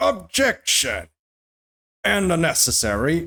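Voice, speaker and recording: A raspy put-on character voice at a middle pitch moves at a fairly slow pace. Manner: dramatic shout.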